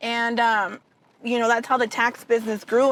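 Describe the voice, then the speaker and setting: A woman speaks at a fairly quick pace in an animated tone, her voice high-pitched, with a Spanish accent. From Southern California, Mexican-American, born in Tijuana. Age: young. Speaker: tax business owner. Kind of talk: interview.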